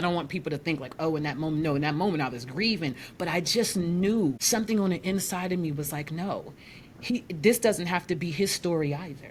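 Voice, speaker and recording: Lively intonation and a somewhat breathy quality, at a moderate pace. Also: woman. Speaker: life coach. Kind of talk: interview.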